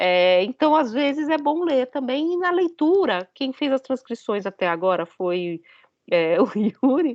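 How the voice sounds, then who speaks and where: A woman speaks high with very wide pitch swings. Her pace is fairly slow. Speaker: philosophy professor. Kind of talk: lecture.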